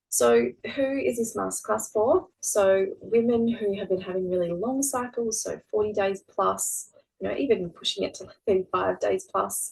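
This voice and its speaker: The speaker is a woman with an Australian accent. She talks at a moderate pace. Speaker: fertility nutritionist. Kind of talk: webinar masterclass presentation. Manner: casual, many fillers.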